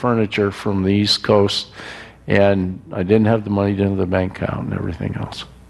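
A man talks at a fairly quick pace with a fairly low pitch. Noticeable background noise runs underneath. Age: 70s. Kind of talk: sermon. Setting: church.

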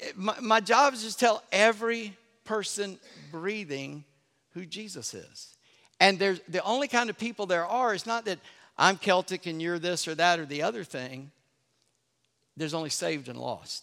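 Raised and projected, a man's high-pitched voice has an animated, bright, sharp tone, lively intonation, big swings in loudness, a moderate pace and long, frequent pauses, all in a very clean recording with a silent background. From US South, North Charleston, South Carolina. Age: old. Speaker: pastor. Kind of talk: sermon. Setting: church.

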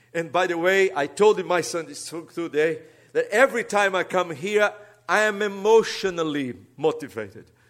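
With a Brazilian accent, a man speaks at a moderate pace with a high pitch and ordinary pitch variation. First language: Portuguese. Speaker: pastor. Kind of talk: sermon. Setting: church.

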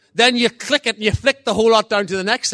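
With an Irish accent, a man projects a raised, high-pitched voice with a bright, sharp tone and ordinary pitch variation, the sound dry and close with no echo. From Ireland. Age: 50s. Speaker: guest preacher. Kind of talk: sermon. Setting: church. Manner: halting, repeats words.

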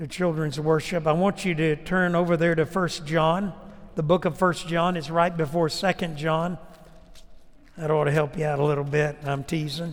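The pace is moderate. The intonation stays flat and monotone. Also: man, fairly high pitch for a man. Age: 60s. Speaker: preacher. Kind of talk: sermon with an altar-call invitation. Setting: church.

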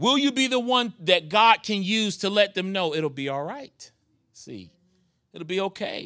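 A man with an American accent and a high pitch speaks at a moderate pace in a raised, projected voice, his tone warm, animated, bright and sharp, with lively intonation. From New York. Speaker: guest preacher; pastor. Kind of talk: sermon. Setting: church. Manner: warm, animated, pulpit-style call and response.

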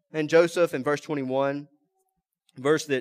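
A man with a fairly high pitch speaks in a Mississippi accent, the sound dry and close with no echo. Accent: Southern US (Mississippi). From US South, rural South Mississippi. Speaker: pastor. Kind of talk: sermon. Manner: halting.

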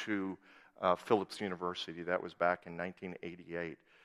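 A man speaks with an Upper Midwest accent. The sound is dry and close, with no echo. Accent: Upper Midwest American. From US Upper Midwest (southwest Minnesota). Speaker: missionary and guest preacher. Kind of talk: sermon. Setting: church.

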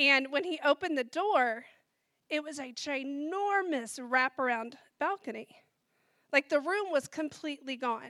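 A woman's raised, projected voice, high in pitch with a bright, sharp tone, at a fairly slow pace with big swings in loudness, in a very clean, dry, close recording with no echo and a silent background. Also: ordinary pitch variation. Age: 40s. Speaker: church member sharing testimony. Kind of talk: testimony.

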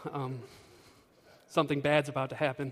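A man is talking. He sits fairly high in pitch. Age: 20s. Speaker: youth ministry staffer. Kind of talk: sermon. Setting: church. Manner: halting, many fillers.

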